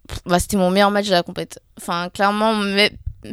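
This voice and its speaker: In a very clean recording with a silent background, a woman uses a normal speaking voice at medium pitch and a moderate pace. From Paris area, Seine-Saint-Denis. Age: young. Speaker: professional table tennis player. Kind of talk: casual interview.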